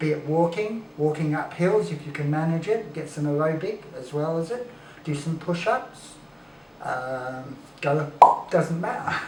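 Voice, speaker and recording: A man with an Australian accent, fairly high in pitch with ordinary pitch variation, at a fairly slow pace, amid audible room echo and noticeable background noise. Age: 60s. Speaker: raw food advocate. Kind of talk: casual chat.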